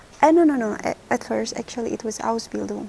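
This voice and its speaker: A woman speaks at a fairly high pitch. There is noticeable noise in the background. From Indonesia, small city. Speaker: vlogger, former au pair. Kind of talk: personal story vlog. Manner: halting, many restarts.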